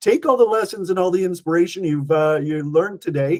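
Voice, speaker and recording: A man with a Canadian accent speaks in a high pitch for a man, his tone dark and mellow. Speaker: event host. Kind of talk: livestream interview sign-off.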